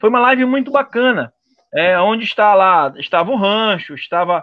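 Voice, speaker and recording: A man speaks with a high-pitched voice. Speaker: web radio host. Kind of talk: casual interview. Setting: live stream.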